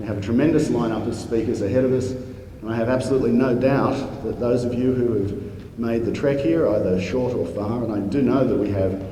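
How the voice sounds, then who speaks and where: A man with an Australian accent, with audible room echo and noticeable background noise. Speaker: space society president opening a conference. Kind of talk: conference welcome speech. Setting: conference stage with audience.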